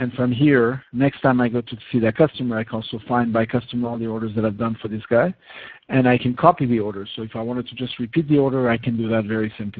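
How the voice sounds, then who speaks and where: Delivered very fast, the speech keeps its intonation fairly even. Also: man, medium pitch for a man. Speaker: software product demonstrator. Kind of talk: webinar product demo. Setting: online webinar.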